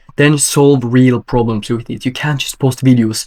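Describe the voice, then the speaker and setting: A man of medium pitch talks at a moderate pace with a Swedish accent. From Sweden. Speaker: business coach. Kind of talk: tutorial. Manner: energetic.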